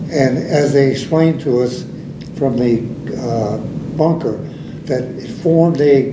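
Against noticeable background noise, a man talks at a fairly slow pace with ordinary pitch variation. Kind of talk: interview answer. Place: meeting room.

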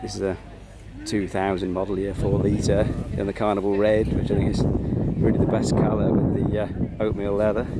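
Crowd noise sits behind a man whose voice sounds dry, with no echo. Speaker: classic car enthusiast vlogger. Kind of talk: casual walkaround commentary. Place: open country. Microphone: phone near.

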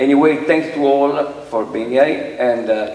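Audible room echo surrounds a man's voice. He keeps a fairly even intonation. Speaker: amateur radio association official. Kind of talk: ceremony speech. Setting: stage with audience. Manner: formal. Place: hall.

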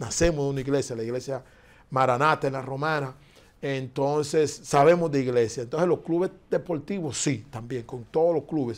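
A man's fairly high voice at a moderate pace with ordinary pitch variation. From Dominican Republic. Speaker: foundation director; interview guest. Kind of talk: interview. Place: studio. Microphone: lapel.

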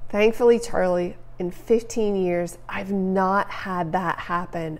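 A woman talks at a fairly slow pace. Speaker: photography educator. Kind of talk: live Q&A answer. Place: home room. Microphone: lapel.

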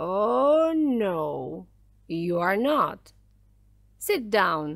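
Using a put-on character voice, a woman speaks at a very slow pace with vocal fry. Her pitch is medium, with big pitch swings.

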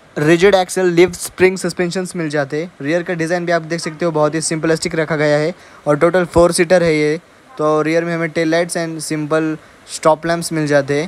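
A high-pitched man's voice, monotone and flat, at a moderate pace, with a dry sound and no echo. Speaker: vehicle reviewer. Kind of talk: vehicle walkaround commentary. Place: open country. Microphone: phone near.

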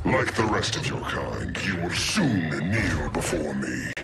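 A man puts on a character voice, low-pitched with vocal fry and big swings in pitch. He talks at a fairly slow pace over loud background music.

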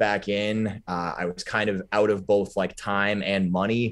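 Against a quiet background, a man with an American accent speaks in a fairly low voice with fairly even intonation. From Boston area, Massachusetts. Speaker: professional wrestler; podcast guest. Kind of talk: casual chat. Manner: hesitant, many fillers. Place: home room. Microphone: video call.

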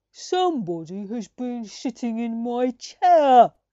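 A female-sounding, put-on character voice speaks fairly slowly in a high pitch. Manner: middle-pitched bear voice.

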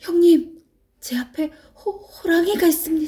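In a put-on character voice, the speaker talks quietly and shakily at an extremely high pitch and a fairly slow pace. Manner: hushed.

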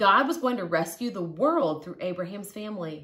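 A woman's fairly bright tone with lively intonation at a fairly slow pace

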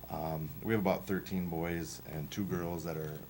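A man's very deep, low voice at a fairly quick pace, with fairly even intonation and audible room echo. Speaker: powerlifting club coach. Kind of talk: presentation to school board. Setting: school board meeting. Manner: fast; halting, many fillers.

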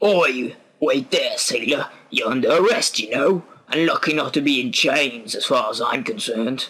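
Putting on a character voice, a man talks at a moderate pace and a fairly high pitch. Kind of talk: informal, slangy. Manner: gruff, authoritative.

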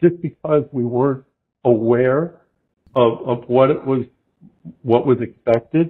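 A man with an American accent, ordinary pitch variation and a fairly slow pace. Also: quiet background. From US Midwest. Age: 60s. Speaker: fly fishing guide and shop owner; fly fishing guide. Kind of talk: casual interview. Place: home room. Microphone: video call.

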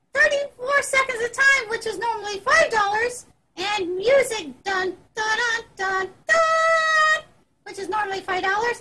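A put-on character voice from a woman, pitched extremely high and at a moderate pace. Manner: chatty, enthusiastic.

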